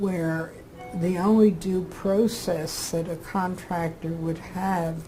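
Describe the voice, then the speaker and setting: A woman with an American accent, a fairly low pitch and monotone, flat intonation at a very slow pace, over noticeable background noise. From Philadelphia, Pennsylvania. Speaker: retired administrative judge. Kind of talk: oral history interview answer.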